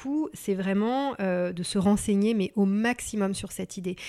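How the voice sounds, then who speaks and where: A woman with a plain, everyday voice talks at a fairly slow pace in a medium pitch. Her pitch varies in an ordinary way on a very clean recording with a silent background. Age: 30s. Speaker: career transition coach. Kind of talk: interview.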